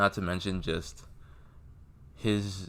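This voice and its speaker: This man's voice has a bright, sharp tone. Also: very clean recording, silent background. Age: young. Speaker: music fan vlogger. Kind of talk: casual monologue vlog. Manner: monotone.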